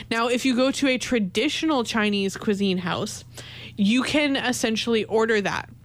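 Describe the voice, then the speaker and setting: Here is a woman with a Canadian accent and an unremarkable speaking voice, fairly high in pitch. She keeps a moderate pace, very even loudness and ordinary pitch variation. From Canada. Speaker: college radio host. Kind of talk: solo radio talk show.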